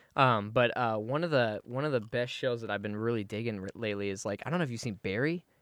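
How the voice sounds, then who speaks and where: This man speaks at a very fast pace. His pitch is medium, with ordinary pitch variation. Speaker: podcast guest. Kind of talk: casual chat.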